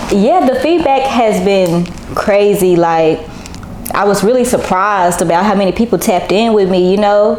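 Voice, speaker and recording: A voice with an American accent keeps a very even loudness amid noticeable background noise and audible room echo. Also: woman, medium pitch for a woman, ordinary pitch variation, moderate pace. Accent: country Texas twang, mostly when rapping. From Texas, Arlington. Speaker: rapper. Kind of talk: casual interview.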